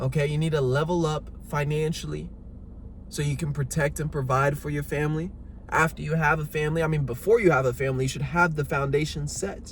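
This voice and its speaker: A man speaks at a fairly quick pace with fairly even intonation, his fairly high voice somewhat breathy. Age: 20s. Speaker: fitness coach. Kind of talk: motivational talk. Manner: emphatic.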